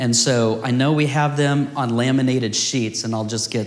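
Using a plain, everyday voice, a man talks at a moderate pace with fairly even intonation. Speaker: teacher leading a house of prayer. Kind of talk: teaching/Bible study with prayer. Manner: earnest, fervent prayer; casual, self-deprecating humor.

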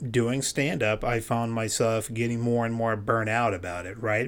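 Here a man talks at a medium pitch. The recording is very clean, with a silent background. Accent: American. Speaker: podcast host and comedian. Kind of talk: casual interview chat.

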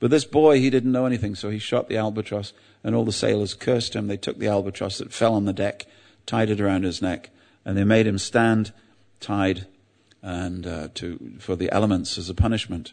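Over a quiet background, a man with an English accent speaks at a fairly quick pace, his fairly low pitch varying in an ordinary way. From England. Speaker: religious teacher. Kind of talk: sermon.

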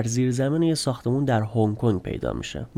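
At medium pitch, a man speaks with a dark, mellow tone. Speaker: true crime podcast host. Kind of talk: scripted narration.

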